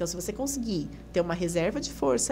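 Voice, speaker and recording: Speaking very fast with lively intonation, a woman is heard over noticeable background noise and audible room echo. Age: 30s. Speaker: physiotherapist. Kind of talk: podcast interview. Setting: studio.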